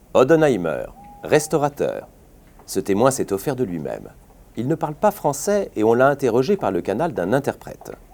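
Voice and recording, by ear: Vocal fry runs through a slightly mellow tone as the voice swings very widely in pitch at a moderate pace. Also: man, medium pitch for a man.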